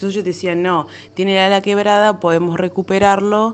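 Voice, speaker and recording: The speech carries a Rioplatense accent. It moves at a moderate pace. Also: woman. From Argentina, La Plata. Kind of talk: personal storytelling. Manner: halting, many fillers.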